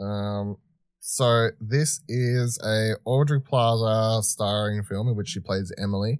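In an Australian accent, a man speaks at a very slow pace, the sound dry and close with no echo. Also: very clean recording, silent background. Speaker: podcast co-host. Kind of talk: casual discussion.

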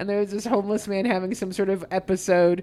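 A woman talks at a fairly quick pace in a medium pitch. Her intonation is flat and monotone. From Dakotas. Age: 40s. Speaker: comedian. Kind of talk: casual chat. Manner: stutter.

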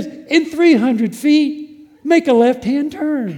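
A put-on character voice, high in pitch, delivers its lines at a very slow pace. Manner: sweet, positive.

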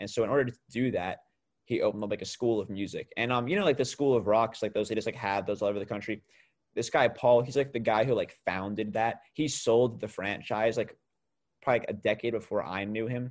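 A normal speaking voice from a man, medium in pitch, with a fairly quick pace and fairly even intonation, in a very clean recording with a silent background. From New York state, small town. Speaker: musician. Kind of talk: casual chat.

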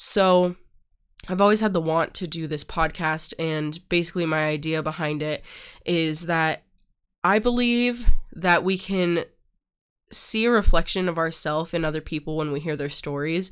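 Heard on a very clean recording against a silent background, a plain, everyday voice moves with ordinary pitch variation. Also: woman, fairly low pitch for a woman, moderate pace. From US, moved between states. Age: 20s. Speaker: podcast host and doula. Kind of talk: solo monologue, personal introduction.

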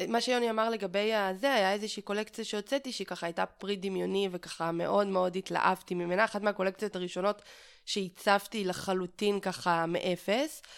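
On a very clean recording with a silent background, a woman with an ordinary speaking voice and medium pitch talks at a moderate pace, with fairly even intonation and hardly any pauses. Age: 30s. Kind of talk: interview. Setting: at home.

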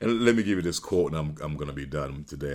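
A man talks at a very fast pace in a very deep, low pitch with vocal fry and ordinary pitch variation. The recording is very clean, with a silent background. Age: 50s. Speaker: podcast host and leadership speaker. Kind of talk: solo motivational talk. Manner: halting, many fillers and repetitions.

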